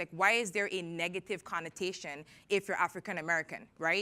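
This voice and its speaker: With a Caribbean accent, a woman speaks at a fairly quick pace in an animated, bright, sharp tone. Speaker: tech entrepreneur and conference speaker. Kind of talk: conference talk. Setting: stage with audience.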